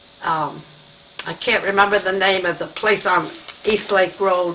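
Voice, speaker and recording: Medium-pitched female speech at a moderate pace, ordinary in pitch variation, against noticeable background noise. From New York City. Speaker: retired scout leader. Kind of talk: oral history interview.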